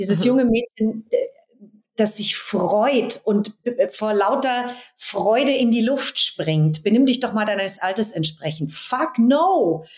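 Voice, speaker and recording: A woman with a fairly high voice delivers her words very slowly, her intonation lively. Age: 40s. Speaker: dance and movement coach. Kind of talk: interview conversation.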